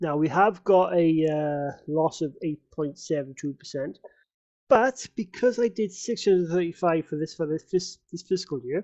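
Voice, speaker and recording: Someone mumbles at a moderate pace in a British accent. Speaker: amateur investor vlogger. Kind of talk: casual vlog. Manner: mumbling; hesitant, many fillers.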